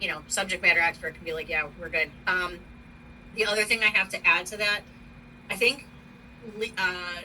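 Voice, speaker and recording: A woman with an American accent speaks at a medium pitch with ordinary pitch variation, her loudness swinging widely. She pauses long and often, over noticeable background noise. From US East Coast. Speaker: university operations manager. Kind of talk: work meeting. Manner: fast.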